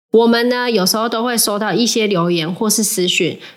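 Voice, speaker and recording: Her voice is an ordinary speaking voice, fairly high in pitch, and the woman uses ordinary pitch variation. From Taiwan. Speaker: podcast co-host. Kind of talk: casual chat.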